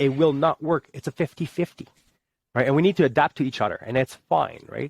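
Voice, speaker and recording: With a Quebec accent and vocal fry, a man speaks at a fairly quick pace. His fairly high pitch shows ordinary pitch variation. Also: dry, close sound with no echo. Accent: Québécois French-accented English. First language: French. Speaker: army veteran. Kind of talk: casual chat.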